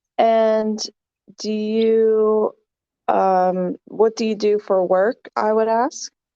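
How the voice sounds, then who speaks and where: A woman with a New York accent, her fairly high pitch in a dark, mellow tone, fairly even intonation, a very slow pace, and a dry, close sound with no echo over a quiet background. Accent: American (New York area). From US East Coast, near New York City. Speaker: online English tutor. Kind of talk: casual conversation lesson.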